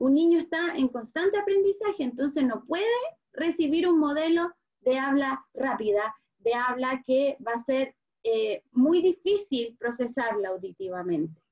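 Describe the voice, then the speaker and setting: At a fairly slow pace, a woman talks in a high pitch with very wide pitch swings. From Chile. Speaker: speech therapist. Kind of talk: online talk for parents.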